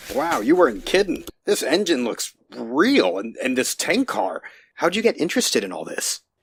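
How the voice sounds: A man does a put-on character voice at medium pitch, with very wide pitch swings and vocal fry. His delivery moves at a moderate pace with a slightly husky edge, and the sound is dry and close with no echo.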